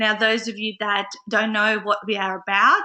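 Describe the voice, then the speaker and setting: A woman with an Australian accent, fairly high-pitched, with a bright, sharp tone, monotone, flat intonation and a moderate pace. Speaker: business coach and webinar host. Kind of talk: live webinar chat. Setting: live online broadcast from a friend's house. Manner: quieter than normal.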